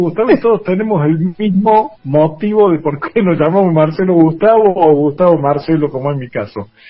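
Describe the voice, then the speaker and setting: Over noticeable background noise, a man speaks at a high pitch and moderate pace with lively intonation. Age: 60s. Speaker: journalist and former basketball player, museum director. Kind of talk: radio interview. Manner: hesitant, many fillers.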